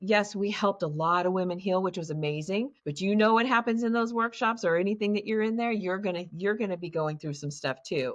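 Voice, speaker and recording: A woman talks at a fairly quick pace with hardly any pauses, in an unremarkable speaking voice of medium pitch and ordinary pitch variation. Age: 60s. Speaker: childhood abuse survivor and trauma healing facilitator. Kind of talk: interview, personal testimony.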